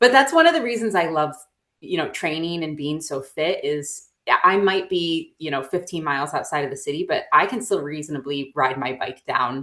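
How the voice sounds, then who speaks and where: Speaking with an American accent, a woman has a bright, sharp tone and a fairly low pitch. Her intonation is lively and her pace moderate. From central New York, rural (Norwich). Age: 30s. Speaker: endurance hiker. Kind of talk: interview. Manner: casual, many filler words.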